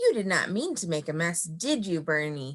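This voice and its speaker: Putting on a rumbling character voice, a woman talks at a moderate pace in a fairly low pitch. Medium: read story. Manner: grumbling.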